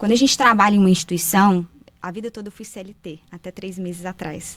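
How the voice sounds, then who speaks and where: A woman speaks at a very fast pace with a medium pitch, fairly even intonation and big swings in loudness. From Brazil, Minas Gerais (Paracatu). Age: 30s. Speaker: writer, speaker and mentor, former bank manager. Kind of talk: podcast interview.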